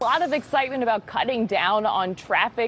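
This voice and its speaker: Noticeable background noise runs under this recording. A woman talks with lively intonation at a fairly high pitch. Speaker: television news reporter. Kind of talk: TV news reporting.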